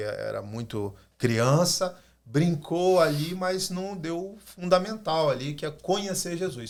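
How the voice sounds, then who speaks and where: On a very clean recording with a silent background, a man with a fairly high pitch talks at a very slow pace with very wide pitch swings. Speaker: pastor. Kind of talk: podcast discussion. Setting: studio.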